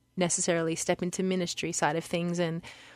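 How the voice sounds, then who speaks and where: In a very clean recording with a silent background, a woman with an Australian accent speaks very fast at a medium pitch. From Lismore, New South Wales, Australia. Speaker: worship singer. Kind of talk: radio interview answer.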